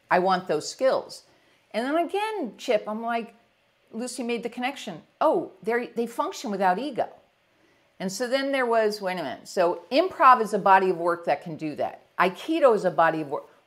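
A woman with a New York accent, fairly high in pitch, at a moderate pace with very wide pitch swings. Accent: New York area. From US Northeast. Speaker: executive leadership coach. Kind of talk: casual interview. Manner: energetic.

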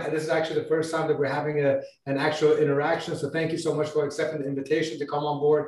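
Talking at a very fast pace, a man keeps a monotone, flat intonation, with audible room echo around him. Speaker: livestream host. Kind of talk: interview host chat. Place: home room.

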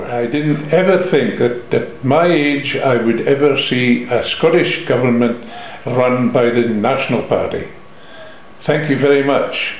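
A man's fairly high voice comes through with audible room echo. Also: ordinary pitch variation. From Braemar, Aberdeenshire, Scotland. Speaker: coach operator and motor engineer. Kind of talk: interview answer. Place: home room. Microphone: phone near.

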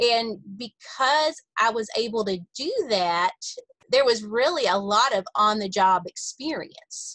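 A woman speaks at a very slow pace with a bright, sharp tone and lively intonation. The sound is dry with no echo, and the background is quiet. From Kentucky. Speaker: executive director of an agricultural education nonprofit. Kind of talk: interview. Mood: friendly, upbeat. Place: office. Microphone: video call.

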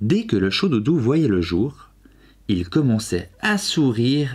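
With lively intonation and a gentle, soothing tone, the speech moves at a very slow pace in a very clean recording with a silent background. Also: man. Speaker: video creator and storyteller. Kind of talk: bedtime story reading aloud. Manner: gentle, soft and soothing, slow storyteller's pace.

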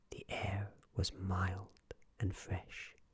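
A soft-spoken man talks at a very slow pace in a fairly low, somewhat breathy voice with a gentle, soothing tone. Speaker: ASMR storyteller. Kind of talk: bedtime story reading aloud, hushed ASMR narration of a fairytale. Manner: slow, soft-spoken, soothing and calm; gentle, even, unhurried, lulling pace.

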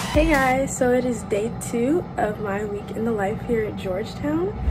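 A fairly slow female voice over noticeable background noise. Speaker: university student vlogger. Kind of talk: casual vlog chat. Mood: cheerful and relaxed. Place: home room. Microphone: phone near.

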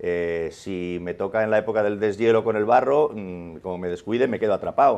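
A man with a Madrid accent, fairly low pitch and a fairly quick pace. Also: ordinary pitch variation. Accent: Castilian Spanish (Madrid). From Spain, Madrid. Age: 50s. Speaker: journalist and author; journalist. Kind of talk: interview. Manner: animated. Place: studio. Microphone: lapel.

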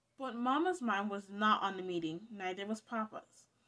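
The pitch shows ordinary variation. The delivery is plain reading aloud.

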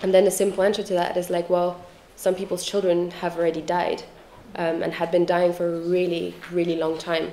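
A woman speaks fairly quickly at a fairly low pitch in a monotone, flat intonation. Noticeable background noise runs underneath. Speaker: activist and researcher. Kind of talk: lecture. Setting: stage with audience. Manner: hesitant, many fillers.

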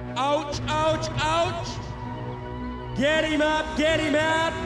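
The speech moves at a very slow pace, with clear music in the background. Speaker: rodeo ring announcer. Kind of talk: live arena announcing. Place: stadium.

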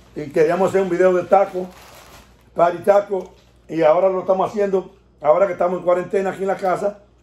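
A man speaks at a very fast pace in a high pitch with monotone, flat intonation. Audible room echo hangs around his voice. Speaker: family channel host. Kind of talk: casual vlog chat. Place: home room. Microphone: phone near.

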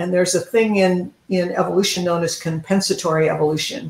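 In a room with audible echo, a woman talks at a fairly low pitch.

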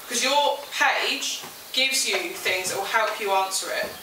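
A woman with a high voice speaks at a moderate pace with ordinary pitch variation, with noticeable background noise and audible room echo. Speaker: teacher. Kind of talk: lecture. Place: classroom. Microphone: camera far.

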